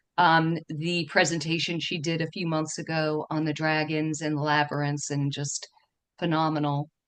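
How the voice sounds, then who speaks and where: Her very deep, low voice carries a New York accent and monotone, flat intonation. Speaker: feng shui teacher and dowser. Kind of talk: online presentation talk. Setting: video call. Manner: trying to speak slower.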